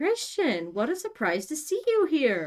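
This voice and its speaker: Someone uses a loud, put-on character voice at a fairly slow pace. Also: female-sounding voice. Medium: read story. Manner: loud, bright.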